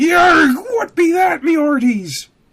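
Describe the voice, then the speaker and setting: A man's put-on character voice over faint background music. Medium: read story. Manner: pirate sailor slang.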